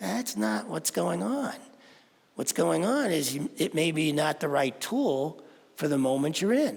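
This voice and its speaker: With vocal fry and a fairly high pitch, a man speaks at a fairly slow pace as his pitch swings very widely. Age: 70s. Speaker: spiritual teacher. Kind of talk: sermon.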